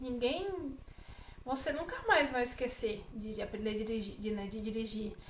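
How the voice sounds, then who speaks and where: Lively intonation marks this woman's speech at a moderate pace. Room echo is audible. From Brazil, Bahia. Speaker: vlogger. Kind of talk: casual vlog talk to camera.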